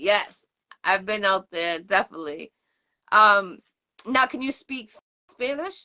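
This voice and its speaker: A woman with an American accent speaks at a fairly slow pace, with long, frequent pauses and lively intonation. Her medium-pitched voice has a bright, sharp tone and big swings in loudness. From Boston, Massachusetts. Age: 40s. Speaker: interview show host. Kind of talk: casual interview chat.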